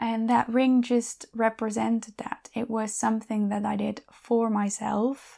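Speaking at a fairly slow pace, a woman keeps her fairly high voice flat and monotone. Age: 30s. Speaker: podcast host, coach and ex-elite gymnast. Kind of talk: solo monologue. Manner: halting.

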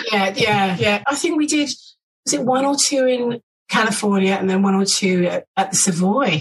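At a moderate pace, someone with a London accent speaks with lively intonation and very even loudness. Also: woman, medium pitch for a woman. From west London. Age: 60s. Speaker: former backing singer. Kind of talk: casual interview. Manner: animated.

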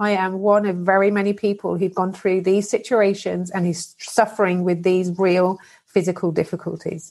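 In a British accent, a woman of medium pitch speaks at a moderate pace with hardly any pauses and a monotone, flat intonation. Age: 40s. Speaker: abuse survivor and advocate. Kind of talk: testimony.

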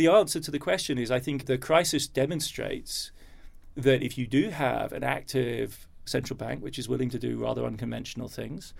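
Fairly quick speech from a man in an English accent. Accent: English-sounding. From Germany. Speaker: historian. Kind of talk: interview. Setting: recorded in London.

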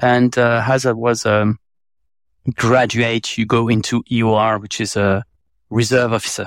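A man with a French accent speaks at medium pitch and a fairly slow pace, with monotone, flat intonation and long, frequent pauses. The recording is very clean with a silent background and a dry, close sound with no echo. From France. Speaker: advertising agency president. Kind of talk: casual interview chat.

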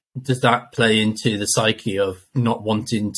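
A somewhat breathy man at a medium pitch speaks with fairly even intonation on a very clean recording with a silent background. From northwest England. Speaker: race organiser and soldier. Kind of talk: casual interview.

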